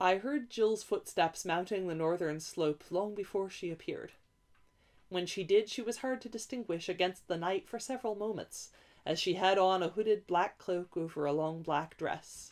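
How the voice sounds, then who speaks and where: On a very clean recording with a silent background, a woman with an ordinary speaking voice talks at medium pitch and a moderate pace, with ordinary pitch variation. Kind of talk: audiobook reading.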